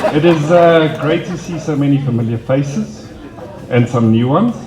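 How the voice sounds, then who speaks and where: With lively intonation, a man speaks amid noticeable background noise and audible room echo. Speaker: wedding guest giving a speech. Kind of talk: wedding speech. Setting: wedding party.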